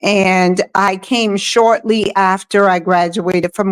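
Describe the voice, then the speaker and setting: Her pitch sits at a medium level for a woman. She speaks in a monotone, flat intonation. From US South. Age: 60s. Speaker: cancer survivor. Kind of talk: testimony.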